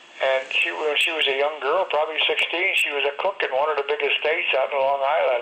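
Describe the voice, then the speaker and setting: Noticeable background noise sits behind a man with an American accent and a fairly high pitch. He speaks at a fairly quick pace, with ordinary pitch variation and very even loudness. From Connecticut. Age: 80s+. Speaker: war veteran. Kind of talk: interview. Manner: halting.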